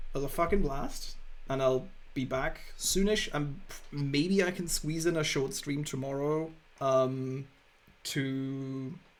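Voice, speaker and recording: Speaking at a very slow pace, a man has a fairly high pitch and ordinary pitch variation. Audible room echo is present. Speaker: video game streamer. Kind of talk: casual chat. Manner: loud.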